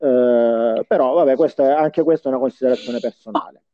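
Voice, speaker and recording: A plain, everyday voice from a man at a fairly high pitch and a moderate pace. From Salento, Puglia, southern Italy. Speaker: podcast co-host. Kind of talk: casual chat.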